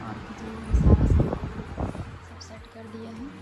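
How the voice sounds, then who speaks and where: There is music in the background and audible room echo as a woman speaks. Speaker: family vlogger. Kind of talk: casual vlog narration. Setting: home kitchen.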